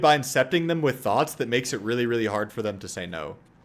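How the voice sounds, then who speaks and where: A man is speaking. Vocal fry runs through his voice. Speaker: streamer and dating/life coach. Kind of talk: casual live-stream chat while gaming.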